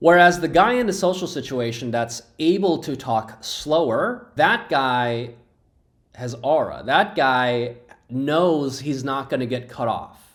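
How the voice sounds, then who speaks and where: Here a man speaks at a very slow pace. His fairly high voice carries lively intonation. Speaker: real estate agent. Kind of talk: talking-head monologue. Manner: slow with long pauses.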